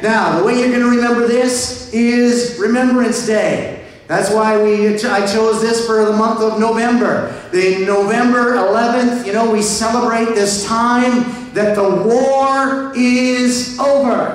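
A man talks at a very slow pace with very even loudness, and strong room echo fills the recording. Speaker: pastor. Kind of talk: sermon. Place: church.

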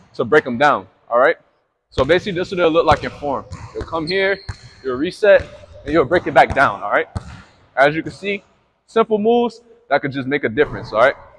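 A man speaks very fast while light background noise sits behind him. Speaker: basketball trainer. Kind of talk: tutorial. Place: hall.

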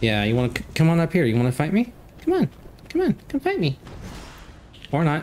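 Over noticeable background noise, the voice moves at a fairly quick pace in an animated, playful tone, with very wide pitch swings and very even loudness. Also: man, fairly high pitch for a man. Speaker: gaming YouTuber. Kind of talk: casual gameplay commentary. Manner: chatty, casual, laughs often.

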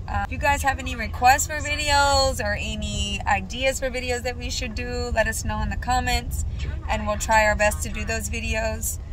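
A woman talks at a moderate pace. The sound is dry with no echo, but there is noticeable background noise. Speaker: family vlogger. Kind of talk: casual vlog chat. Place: car. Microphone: phone near.

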